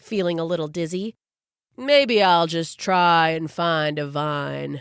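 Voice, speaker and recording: Using a put-on character voice, a woman talks at a fairly slow pace and fairly low pitch on a very clean recording with a silent background. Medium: read story.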